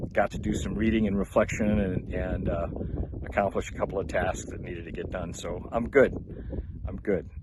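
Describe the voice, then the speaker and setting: A man speaks with a fairly low pitch. Noticeable background noise runs under his voice. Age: 70s. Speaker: vlogger on a water fast. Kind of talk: casual vlog monologue. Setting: outdoors in the desert. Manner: halting, many fillers.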